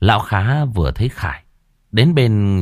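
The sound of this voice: Lively intonation runs through an unforced reading voice. The background is quiet.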